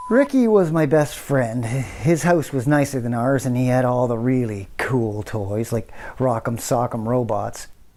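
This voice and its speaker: A man's medium-pitched, dark and mellow voice at a moderate pace, with ordinary pitch variation. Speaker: actor. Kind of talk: scripted drama dialogue. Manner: hesitant, nervous.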